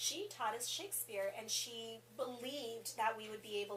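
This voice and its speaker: Her voice is fairly high and her pace is moderate. Noticeable background noise runs behind this woman. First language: Spanish. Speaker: assistant principal. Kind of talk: interview. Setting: school office.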